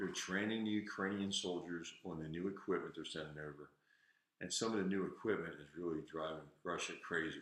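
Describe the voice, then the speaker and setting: Very deep and low, a man speaks with an American accent at a fairly quick pace. His intonation stays fairly even. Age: 70s. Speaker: livestream host, veteran. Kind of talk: casual livestream talk. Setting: home garage livestream. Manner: halting. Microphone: echo in the garage.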